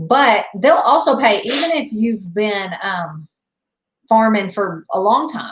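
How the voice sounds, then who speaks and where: A woman with a slight Southern US accent talks at a very slow pace in a fairly high, somewhat breathy voice with very wide pitch swings. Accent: a little country. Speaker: farmer. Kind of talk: casual chat.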